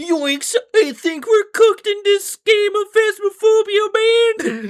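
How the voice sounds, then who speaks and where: At a fairly slow pace, a put-on character voice speaks at an extremely high pitch. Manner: panicky, stoner drawl.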